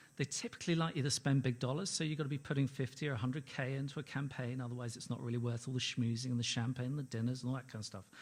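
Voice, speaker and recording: A man with a London accent talks at a very fast pace with hardly any pauses, his medium-pitched, somewhat breathy voice held to a fairly even intonation on a very clean recording with a silent background. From London, England. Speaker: ad-tech company executive, conference panelist. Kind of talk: conference presentation. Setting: stage with audience.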